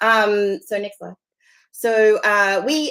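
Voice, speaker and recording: An Australian woman talks with lively intonation. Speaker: partnerships director of a society. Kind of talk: meeting presentation. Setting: video call from home.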